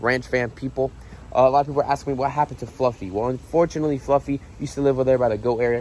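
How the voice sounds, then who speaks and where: This man's voice sits at a medium pitch with ordinary pitch variation. He speaks at a very fast pace. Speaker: exotic animal ranch owner and vlogger. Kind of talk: casual vlog tour. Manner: casual with many fillers; quieter, softer tone around the animal.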